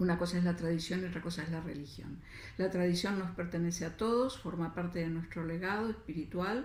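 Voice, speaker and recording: A woman's somewhat breathy voice, fairly low in pitch, with audible room echo. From Argentina. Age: 60s. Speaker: writer and feminist spirituality speaker. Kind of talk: lecture. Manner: hesitant, many fillers.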